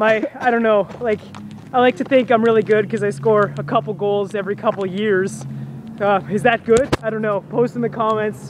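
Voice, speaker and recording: A man's loud, high voice at a moderate pace, with ordinary pitch variation and noticeable background noise. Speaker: vlogger. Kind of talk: casual chat. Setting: outdoors.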